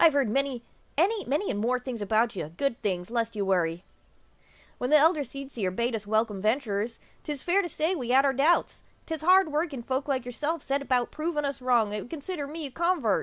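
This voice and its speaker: A gruff, put-on character voice at a fairly quick pace. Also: female-sounding voice, high pitch for a woman. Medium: game stream. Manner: gruff, folksy.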